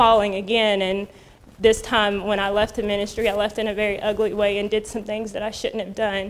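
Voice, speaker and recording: A woman's medium-pitched voice, monotone and flat, at a fairly quick pace. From North Carolina. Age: 30s. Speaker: ministry program graduate. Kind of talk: testimony.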